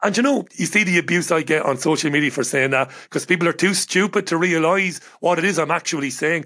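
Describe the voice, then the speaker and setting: Speaking at a very fast pace with hardly any pauses, a man with an Irish accent has a high pitch, a bright, sharp tone, ordinary pitch variation and very even loudness on a very clean recording with a silent background. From Ireland. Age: 40s. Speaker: radio broadcaster and journalist. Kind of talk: casual chat.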